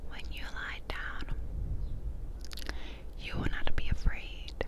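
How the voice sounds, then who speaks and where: The speaker is whispering in a soft-spoken way. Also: woman. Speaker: ASMR creator. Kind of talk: whispered ASMR scripture reading. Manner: close-mic ASMR whisper, slow and soft. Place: home room. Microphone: lapel.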